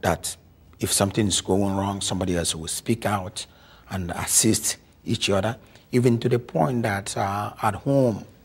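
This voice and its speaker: Somewhat breathy and fairly low in pitch, a man with an African accent speaks at a fairly slow pace with fairly even intonation. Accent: deep African. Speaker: African immigrant community speaker. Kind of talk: interview.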